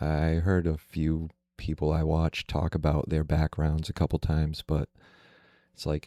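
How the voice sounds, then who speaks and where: Very deep and low, a man's soft-spoken voice has a dark, mellow tone and monotone, flat intonation. The recording is very clean with a silent background and a dry, close sound with no echo. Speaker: YouTuber. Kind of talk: casual vlog monologue. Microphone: close to the mic.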